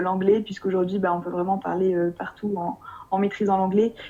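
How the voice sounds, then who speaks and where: A woman's medium-pitched voice is heard with noticeable background noise behind it. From France. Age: 20s. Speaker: expatriate interviewee. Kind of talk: interview. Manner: hesitant with many fillers.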